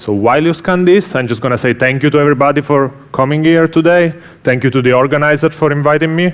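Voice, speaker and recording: A man with an Italian accent talks very fast at a fairly high pitch. His loudness stays very even, with ordinary pitch variation. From Italy. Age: 30s. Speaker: software engineer. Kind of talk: conference talk. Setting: stage with audience.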